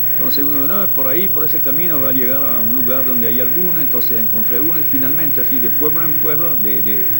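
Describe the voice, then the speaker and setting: A man speaks at a very fast pace with a medium pitch, ordinary pitch variation and hardly any pauses. Noticeable background noise and audible room echo are present. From France. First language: French (speaking Spanish). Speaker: ethnologist. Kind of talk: interview. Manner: halting.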